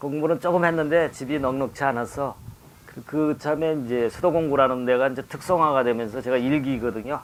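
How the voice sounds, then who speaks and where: A fairly high-pitched man with fairly even intonation at a moderate pace, over noticeable background noise. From Chungcheong, Korea (Chungju). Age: 60s. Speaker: poet. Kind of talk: talk show conversation. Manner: halting.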